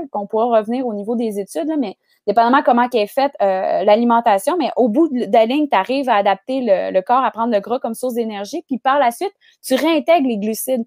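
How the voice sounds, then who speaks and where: A woman's high voice in a Quebec accent, with lively intonation at a fairly quick pace, in a dry, close sound with no echo. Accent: Québécois French. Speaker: nutritionist. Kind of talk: casual interview chat.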